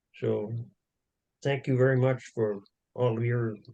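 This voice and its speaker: With a dark, mellow tone and a somewhat breathy quality, a man speaks in a flat monotone. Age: 80s+. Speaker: church member sharing a testimony. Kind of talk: testimony. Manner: halting.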